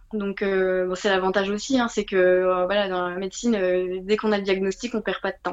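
A woman is speaking here. Her voice sits at a medium pitch. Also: quiet background. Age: 20s. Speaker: nursing assistant and marathon runner. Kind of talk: interview testimony. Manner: hesitant, many fillers.

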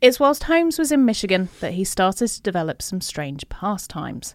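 On a very clean recording with a silent background, a woman of medium pitch speaks at a fairly quick pace with very wide pitch swings. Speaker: podcast host. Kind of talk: casual chat.

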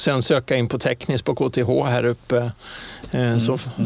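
A man speaking at a very slow pace. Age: 60s. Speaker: airline pilot. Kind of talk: interview. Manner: halting.

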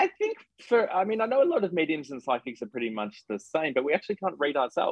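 A man's very fast speech in an Australian accent, with very wide pitch swings. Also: fairly high pitch for a man. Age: 30s. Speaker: psychic medium. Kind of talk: casual interview chat. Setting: video call.

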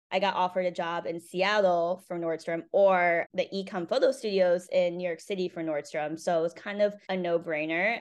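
In a Northeastern US accent, a woman speaks with fairly even intonation. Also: fairly low pitch for a woman, moderate pace, hardly any pauses, quiet background. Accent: American (Northeast). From Connecticut, US. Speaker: florist and business owner. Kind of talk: interview. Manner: casual with frequent fillers.

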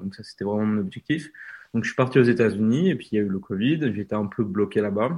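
This man's voice sits at a fairly low pitch. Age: 20s. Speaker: train YouTuber and author. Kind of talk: interview. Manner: halting.

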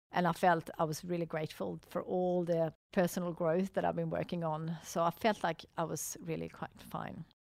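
A woman with a Swedish accent talks at a moderate pace with hardly any pauses. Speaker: entrepreneur. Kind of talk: interview. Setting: studio. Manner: upbeat, animated.

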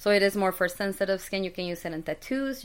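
In a very clean recording with a silent background, a woman with a Spanish accent talks at a fairly quick pace, at a medium pitch with ordinary variation. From Mexico City. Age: 30s. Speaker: skincare business owner. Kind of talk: interview.

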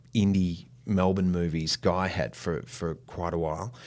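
A man with an Australian accent and a very deep, low voice, on a very clean recording with a silent background. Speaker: actor. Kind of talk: interview conversation.

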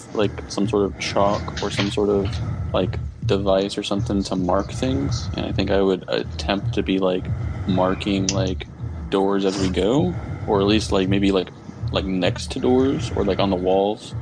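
Over noticeable background noise, a man with fairly low pitch speaks at a moderate pace with ordinary pitch variation and very even loudness. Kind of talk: in-character roleplay at a tabletop game, casual banter. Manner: dry, sarcastic, wisecracking.

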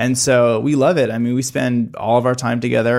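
A man with a normal speaking voice and an American accent, medium pitch and ordinary pitch variation, very clean recording with a silent background. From US Midwest. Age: 30s. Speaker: documentary filmmaker and YouTube channel founder. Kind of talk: casual interview chat.

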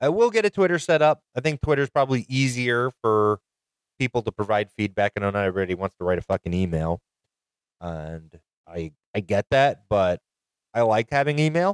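Quick-paced and at a medium pitch, a man speaks with very wide pitch swings in a dry, close sound with no echo. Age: 30s. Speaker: podcast host and gamer. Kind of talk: casual solo chat. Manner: rambling, sidetracked.

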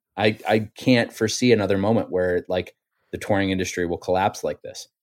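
In a very clean recording with a silent background and a dry, close sound with no echo, a man with a plain, everyday voice and fairly low pitch speaks at a moderate pace, his intonation fairly even but his loudness swinging widely. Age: 30s. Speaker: musician. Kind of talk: casual chat.

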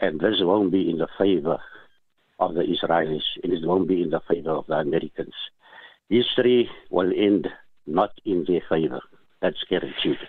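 With very even loudness, a man speaks very deep and low at a moderate pace, taking long, frequent pauses, his pitch varying in an ordinary way. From South Africa. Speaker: caller. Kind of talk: phone-in call. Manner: halting.

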